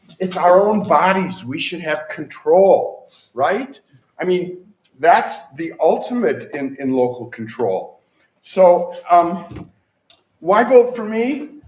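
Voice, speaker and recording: A man's high voice with very wide pitch swings and big jumps in loudness, very slow, in a room with audible echo. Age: 60s. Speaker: political candidate. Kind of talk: campaign speech. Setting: stage with audience. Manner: animated.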